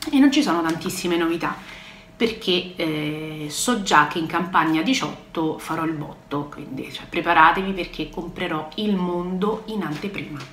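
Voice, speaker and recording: At a fairly slow pace, a woman with a fairly low pitch speaks amid light background noise and audible room echo. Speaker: product sales rep. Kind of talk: casual vlog chat. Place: home room. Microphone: phone near.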